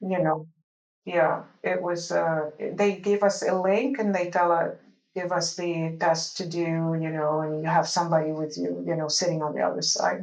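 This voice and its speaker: Amid audible room echo, a woman talks at a moderate pace and fairly low pitch with fairly even intonation. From Lebanon. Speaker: medical device clinical research executive. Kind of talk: interview. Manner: halting.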